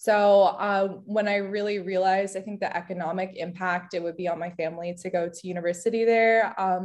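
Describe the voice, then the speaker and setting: A woman with a New Jersey accent at a fairly quick pace, with fairly even intonation. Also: quiet background. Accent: American, New Jersey. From US Northeast, New Jersey. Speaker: architecture student and material designer. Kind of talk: interview.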